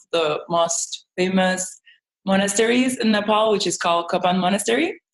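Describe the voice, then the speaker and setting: A woman speaks in a Spanish accent at a medium pitch. Her intonation stays fairly even. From Mexico. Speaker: travel vlogger and model. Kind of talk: interview.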